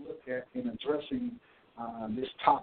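In a Mississippi accent, a man speaks at a moderate pace with very wide pitch swings. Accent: Southern US (Mississippi). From US South, Natchez, Mississippi. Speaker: school administrator. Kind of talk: radio interview. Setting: phone call.

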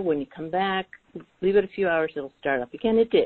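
A woman with a plain, everyday voice talks at a medium pitch with lively intonation. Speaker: client in private session. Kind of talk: private session, personal conversation. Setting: phone call.

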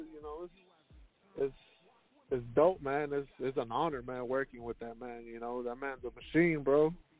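With music in the background, a man of medium pitch speaks at a moderate pace, leaving long, frequent pauses, his intonation fairly even and his loudness swinging widely. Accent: American. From Houston, Texas. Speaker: rapper. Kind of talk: interview.

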